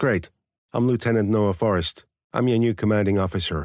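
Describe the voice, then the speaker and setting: Using a put-on character voice, a man speaks at a fairly quick pace with a fairly low pitch and very even loudness, recorded very cleanly against a silent background. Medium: read story. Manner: curt, snappish.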